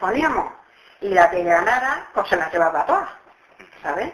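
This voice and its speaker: Noticeable background noise sits behind a woman who speaks at medium pitch and a moderate pace. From Extremadura, Spain. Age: 70s. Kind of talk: dialect interview answer. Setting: home recording.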